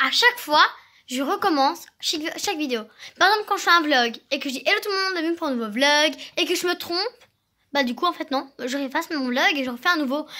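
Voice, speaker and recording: A woman projects her raised, high-pitched voice at a fairly quick pace, with lively intonation and a bright, sharp tone. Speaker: vlogger. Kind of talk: casual vlog monologue. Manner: fast.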